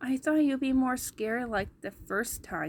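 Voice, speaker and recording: Pitching her voice high, a woman performs a put-on character voice. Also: moderate pace. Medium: read story. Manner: brash, swearing.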